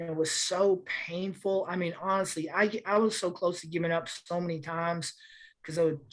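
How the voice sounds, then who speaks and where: The speaker uses fairly even intonation and keeps a moderate pace. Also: woman. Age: 60s. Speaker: civil rights lawyer. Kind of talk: panel discussion. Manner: halting, many restarts.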